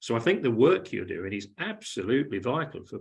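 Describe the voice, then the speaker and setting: Animated in tone, a man with a British accent speaks at a medium pitch. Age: 60s. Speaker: event host. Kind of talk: casual chat. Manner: animated, repeats words.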